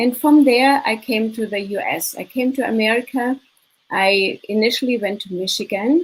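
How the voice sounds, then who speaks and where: Speaking with a German accent, a woman talks at a moderate pace in a fairly high pitch with ordinary pitch variation. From Germany, Munich. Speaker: business consultant and mindset coach. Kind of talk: interview.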